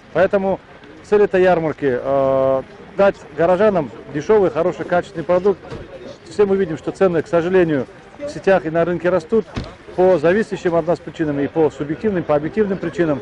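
A man talks at a fairly quick pace in a high voice. The sound is dry with no echo, over light background noise. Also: ordinary pitch variation. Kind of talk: interview answer. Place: market. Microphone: handheld.

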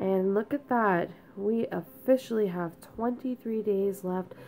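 Music plays in the background as a woman with a medium pitch speaks at a fairly slow pace with lively intonation. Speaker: planner hobbyist vlogger. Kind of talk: casual talk to camera.

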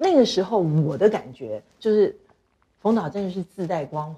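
Her pitch swings very widely as she talks. The woman keeps a moderate pace. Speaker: talk show guest. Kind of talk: casual chat. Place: studio.

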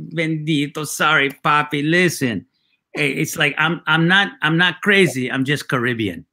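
A man's fairly high, bright, sharp voice with ordinary pitch variation, over a quiet background. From Mexican-American background. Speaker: writer, actor and comedian; actor, comedian. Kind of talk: casual interview. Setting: video call. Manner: halting, repeated false starts. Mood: warm, reflective, sometimes laughing. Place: home room.

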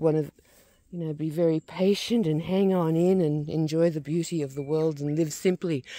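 Speech at a moderate pace comes through a quiet background with a dry sound and no echo. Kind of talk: casual vlog chat. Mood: reflective, relaxed, laughing. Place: open country. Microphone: phone near.

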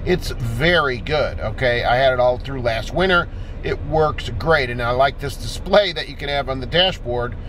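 A man speaks at a moderate pace over music in the background, the sound dry with no echo. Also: ordinary pitch variation. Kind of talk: casual explanatory vlog. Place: car.

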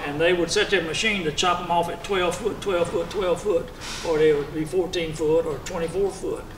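A moderate pace over noticeable background noise. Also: man. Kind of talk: panel storytelling. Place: meeting room. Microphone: handheld.

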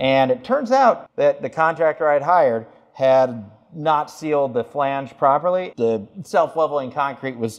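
A man's voice at a fairly slow pace with ordinary pitch variation. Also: quiet background. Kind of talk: tutorial. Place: bathroom.

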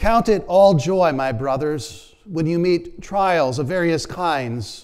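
With a quiet background, a man speaks at a fairly slow pace and ordinary pitch variation. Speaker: preacher. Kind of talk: sermon, prayer and scripture reading. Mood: earnest, calm. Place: church. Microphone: lapel.

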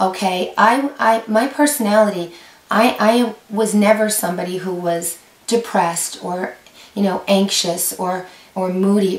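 A woman talks at a fairly slow pace, her pitch medium and its variation ordinary. Noticeable background noise runs underneath. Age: 50s. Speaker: YouTube creator on women's health. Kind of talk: informational talk to camera.

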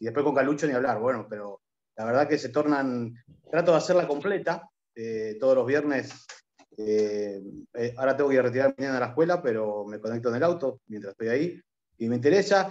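A man at a fairly quick pace with lively intonation over a quiet background. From Punta Alta, Argentina. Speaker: oil company worker and union leave. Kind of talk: self-introduction. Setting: video call. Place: home room. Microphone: video call.

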